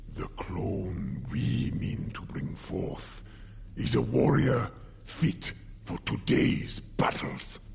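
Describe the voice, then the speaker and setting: In a put-on character voice, the speaker talks at a very slow pace over clear background noise. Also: man, very deep, low pitch for a man. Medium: machinima. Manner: grave, measured.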